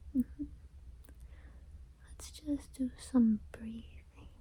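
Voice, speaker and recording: A woman whispers in a soft-spoken way. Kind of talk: ASMR personal attention roleplay. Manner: whispered, soft-spoken; calm, soothing.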